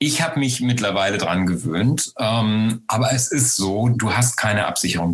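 A man's fairly low voice with lively intonation at a moderate pace, over noticeable background noise. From Lower Saxony, Germany. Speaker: actor. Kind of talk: interview. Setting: video call. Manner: halting.

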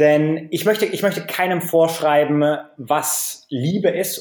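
A man talks at a fairly slow pace with a fairly high pitch. His pitch varies in an ordinary way. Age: 30s. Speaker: author and blogger. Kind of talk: interview. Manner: frequent repetitions and hesitations.

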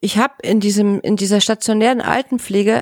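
Here is a woman with a plain, everyday voice at medium pitch, talking at a fairly quick pace. The sound is dry and close, with no echo. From former East Germany. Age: 40s. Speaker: pediatric nurse. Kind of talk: casual chat.

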